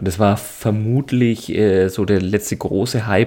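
Fairly low in pitch, a man's voice has a dark, mellow tone and fairly even intonation. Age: 30s. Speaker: podcast co-host. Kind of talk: casual chat.

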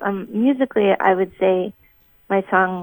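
With an American accent, a woman uses a plain, everyday voice at a medium pitch, ordinary pitch variation and a moderate pace, in a dry, close sound with no echo. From Minnesota. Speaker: singer-songwriter. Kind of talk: interview.

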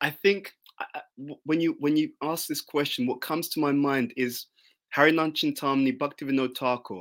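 With a British accent and a fairly high pitch, a man speaks at a moderate pace with ordinary pitch variation in a very clean recording with a silent background. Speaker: spiritual teacher. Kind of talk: interview. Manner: intense.

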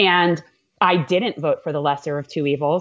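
A woman's fairly low voice in a New York accent, with fairly even intonation and a moderate pace. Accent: New York-tinged American. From Florida, US. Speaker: congressional candidate and attorney. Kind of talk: casual interview chat. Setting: live video stream.

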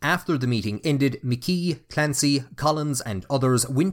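A man in an Irish accent with lively intonation, on a very clean recording with a silent background. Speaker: podcast host and narrator. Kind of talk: history documentary narration. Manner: formal, measured, storytelling delivery; serious, even-paced.

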